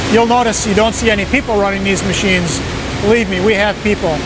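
Over loud background noise, a man talks very fast, the sound dry with no echo. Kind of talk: shop tour explanation. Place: factory. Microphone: lapel.

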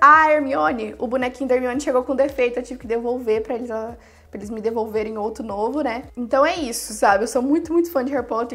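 Her pitch runs high with ordinary variation as the woman talks at a fairly quick pace. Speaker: YouTuber, phone customization. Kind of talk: casual video commentary. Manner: animated.

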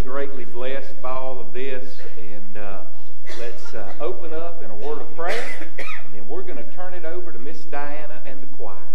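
Moderately paced speech from a man over noticeable background noise. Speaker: pastor opening the service. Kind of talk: welcome and prayer. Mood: warm, reverent. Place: church.

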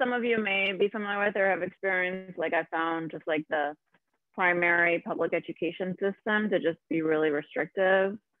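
A normal speaking voice from a woman, fairly low in pitch, with ordinary pitch variation, a moderate pace, and a dry sound with no echo over a quiet background. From Argentina, raised in US. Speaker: forest school director; guest, educator. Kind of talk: panel talk. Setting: video call. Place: home room. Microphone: video call.

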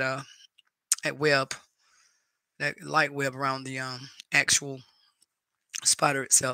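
With a Southern US accent, a man speaks in a fairly high, bright, sharp voice. His delivery is monotone and flat, in a dry, close sound with no echo. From North Carolina, US. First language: Spanish. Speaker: YouTube live streamer. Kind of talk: casual chat. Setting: live stream at home. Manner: warm, chatty.

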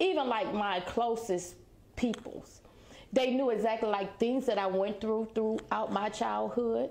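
Speaking at a fairly slow pace, a woman keeps a fairly high pitch with ordinary pitch variation and very even loudness. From South Carolina. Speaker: business owner, former prisoner. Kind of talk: personal testimony interview. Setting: on location at her branding agency. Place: studio.

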